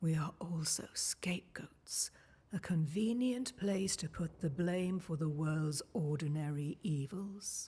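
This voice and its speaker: A put-on character voice at a middle pitch, calm in tone and fairly slow in pace. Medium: video game. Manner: calm, cryptic.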